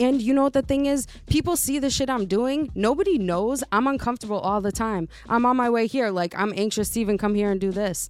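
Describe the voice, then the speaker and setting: A woman with a plain, everyday voice speaks at fairly high pitch, with ordinary pitch variation and very even loudness. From US, Italian and Puerto Rican family. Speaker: podcast co-host guest, artist. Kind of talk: casual chat.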